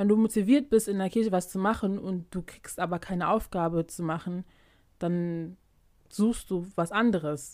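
A woman's unremarkable speaking voice at medium pitch and moderate pace, ordinary pitch variation, on a very clean recording with a silent background. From Germany, Ghanaian community. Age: young adult. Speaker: podcast co-host. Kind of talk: casual chat.

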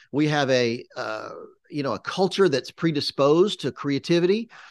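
Lively, moderately paced speech from a man with an American accent and a normal speaking voice, dry and close with no echo. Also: quiet background. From US South, Charlotte, North Carolina. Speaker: media producer and director. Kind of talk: interview.

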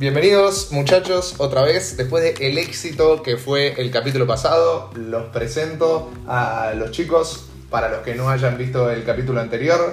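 Over noticeable background noise and audible room echo, a man speaks at a fairly slow pace with hardly any pauses, at a medium pitch with ordinary variation. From Argentina, Buenos Aires (Belgrano). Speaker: podcast host. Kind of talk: casual chat.

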